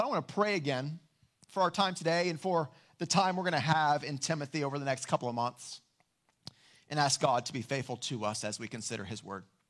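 Speech races at a very fast pace with lively intonation. The recording is very clean, with a silent background. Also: man. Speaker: pastor. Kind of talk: fervent prayer, earnest and heartfelt, addressing God directly. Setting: church. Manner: earnest, solemn, measured.

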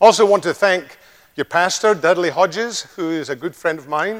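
A man is speaking. He has a Scottish accent. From Scotland. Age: 60s. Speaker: visiting preacher. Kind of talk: sermon. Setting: church.

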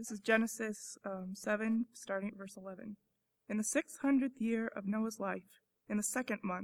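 A woman speaks in an ordinary speaking voice at a fairly high pitch. Her intonation is fairly even. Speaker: student scripture reader. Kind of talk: reading aloud. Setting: church.

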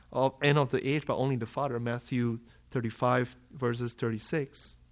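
The speaker is a man with a Malaysian accent. He talks at a moderate pace. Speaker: preacher. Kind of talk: sermon.

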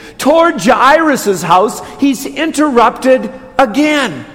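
Through noticeable background noise and audible room echo, a man with an American accent speaks very slowly at an extremely high pitch, his intonation lively. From Wisconsin, Watertown. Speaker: Lutheran pastor. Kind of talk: sermon. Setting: church.

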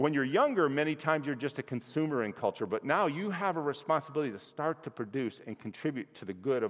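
A man with an unremarkable speaking voice and a fairly high pitch. His delivery is fairly quick, and his intonation rises and falls in a lively way. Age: 60s. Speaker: lay preacher at his church. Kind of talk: sermon. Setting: church. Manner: conversational with filler words.

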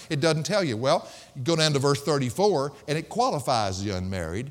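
A man with a Southern US accent talks at a fairly quick pace with lively intonation. The recording is very clean, with a silent background. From US South. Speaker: pastor. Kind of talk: sermon. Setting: church. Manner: fast talker.

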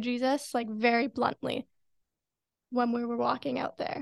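Here a woman talks in a high pitch. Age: 20s. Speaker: missions team volunteer. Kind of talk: casual interview chat.

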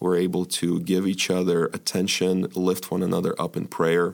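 Vocal fry marks this voice in an American accent. The pace is moderate and the pitch variation ordinary. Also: man. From Ukraine, emigrated to US at age twelve. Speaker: church elder. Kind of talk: podcast interview. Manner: halting, many fillers.

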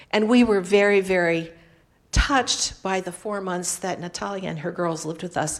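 A woman with an ordinary speaking voice and medium pitch talks at a moderate pace with ordinary pitch variation in a very clean recording with a silent background. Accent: American. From United States. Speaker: missionary. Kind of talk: missionary report in church service. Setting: church with congregation.

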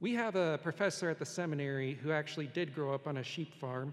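A man with an ordinary speaking voice, fairly high pitch and ordinary pitch variation. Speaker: pastor. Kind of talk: sermon. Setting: church.

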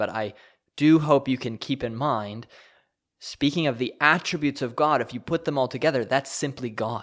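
Recorded very cleanly against a silent background, a man with an ordinary speaking voice talks at a moderate pace and medium pitch, with ordinary pitch variation. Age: 20s. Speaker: pastor. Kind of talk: teaching podcast.

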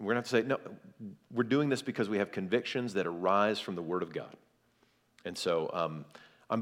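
In a plain, everyday voice, a man talks with an American accent. His pace is fairly quick and his pitch varies in an ordinary way. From US South, South Carolina. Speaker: pastor. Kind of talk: seminar talk.

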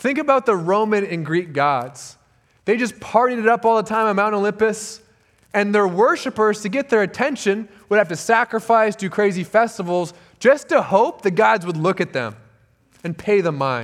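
A high-pitched man with an American accent, lively intonation and a moderate pace. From Southern California. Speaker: church intern preaching. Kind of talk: sermon. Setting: church.

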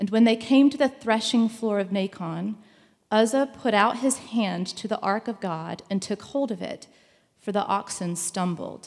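A plain, everyday voice from a woman, fairly high in pitch with ordinary pitch variation, at a moderate pace, on a very clean recording with a silent background. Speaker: scripture reader. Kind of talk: scripture reading.

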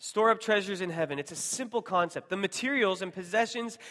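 In a very clean recording with a silent background, a man speaks with an American accent at a high pitch in a bright, sharp tone. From US Pacific Northwest, Seattle. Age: 30s. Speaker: missionary church planter. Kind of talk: sermon.

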